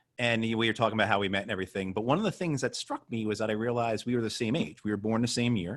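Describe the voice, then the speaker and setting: This speaker, with an American accent, talks at a very fast pace with hardly any pauses and ordinary pitch variation. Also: man, medium pitch for a man. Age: 40s. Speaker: moderator, veterans' group board member. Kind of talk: interview conversation. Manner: halting.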